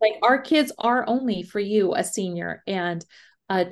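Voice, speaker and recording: A woman's unremarkable speaking voice, medium in pitch, at a moderate pace with ordinary pitch variation over a quiet background. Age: 50s. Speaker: podcast co-host. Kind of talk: casual chat.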